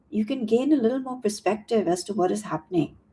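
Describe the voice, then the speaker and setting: A woman with a fairly high pitch speaks in a dark, mellow, somewhat breathy tone with lively intonation. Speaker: tarot reader and coach. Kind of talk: tarot reading monologue. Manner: halting.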